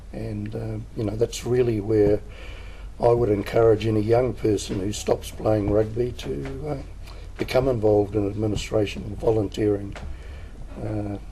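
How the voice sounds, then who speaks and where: Noticeable background noise sits behind a man with a New Zealand accent talking at a moderate pace. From New Zealand, Gisborne. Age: old. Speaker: rugby volunteer. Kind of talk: interview. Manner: halting, many fillers.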